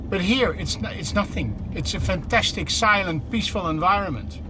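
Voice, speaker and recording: Noticeable background noise surrounds this man's voice. The room adds an audible echo. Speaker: truck company executive. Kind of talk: live product demo while driving. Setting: in a truck cab. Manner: animated.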